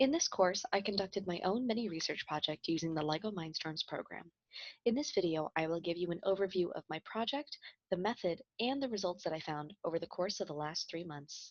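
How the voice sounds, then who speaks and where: A woman with a Midwestern accent speaks at a fairly quick pace in a medium pitch, her intonation lively. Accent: American Midwest. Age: 20s. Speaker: chemistry student. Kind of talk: scripted project presentation.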